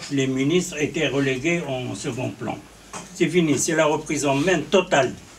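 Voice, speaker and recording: Noticeable background noise runs under this recording. A man with a fairly high pitch speaks at a fairly slow pace. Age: 60s. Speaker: journalist and political commentator. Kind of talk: political interview. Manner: halting, many repetitions.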